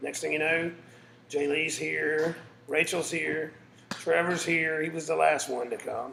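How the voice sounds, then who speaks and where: With a Southern US accent, a man talks at a fairly slow pace amid noticeable background noise and audible room echo. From South Carolina. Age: 40s. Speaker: musician and father. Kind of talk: casting interview.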